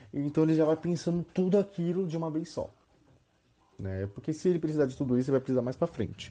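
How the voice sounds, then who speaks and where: Talking at a very fast pace, a man uses a dark, mellow tone. His pitch is fairly high, with ordinary variation. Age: 20s. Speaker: university student. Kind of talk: casual chat. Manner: halting, many fillers.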